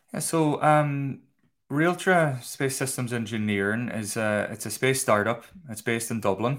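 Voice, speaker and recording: The speaker has a Donegal accent and talks at a moderate pace. The recording is very clean, with a silent background. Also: man, medium pitch for a man, ordinary pitch variation. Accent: Irish, Donegal. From Ireland, County Donegal. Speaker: space industry physicist and product manager. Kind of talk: casual interview.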